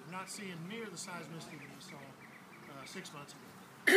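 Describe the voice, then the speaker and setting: A man is speaking. Loud background noise sits behind him. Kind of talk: public briefing talk. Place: waterside. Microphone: camera far.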